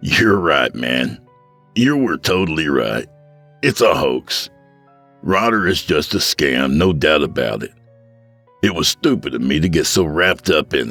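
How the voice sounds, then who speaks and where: Using a put-on character voice, a man speaks raspy and very deep, at a moderate pace. Faint music plays in the background. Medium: read story. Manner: casual, slangy.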